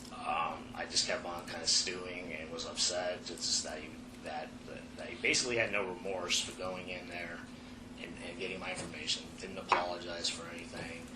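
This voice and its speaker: A man speaks at a moderate pace in a very deep, low pitch, with fairly even intonation. His loudness swings widely, and there is audible room echo and noticeable background noise. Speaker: firefighter in internal investigation interview. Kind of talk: investigative interview testimony.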